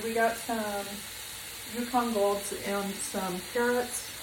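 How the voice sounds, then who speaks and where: Noticeable background noise surrounds the voice, along with audible room echo. The speaker is a woman. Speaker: cooking channel host. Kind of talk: cooking tutorial. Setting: home kitchen. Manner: casual, hesitant with fillers; soft-spoken.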